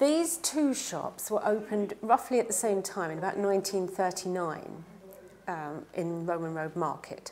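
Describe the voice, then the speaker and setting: A woman with a London accent talks at a medium pitch and a moderate pace, with lively intonation. Noticeable background noise runs under her voice. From East London. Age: 60s. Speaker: pie and mash shop owner. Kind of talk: oral history interview. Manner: hesitant, with frequent fillers.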